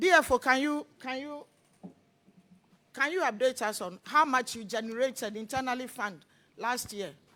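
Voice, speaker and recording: The voice is raised and projected, with lively intonation and big swings in loudness. It moves at a moderate pace, broken by long, frequent pauses. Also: woman, high pitch for a woman. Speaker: parliamentary committee chair. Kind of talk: committee hearing questioning.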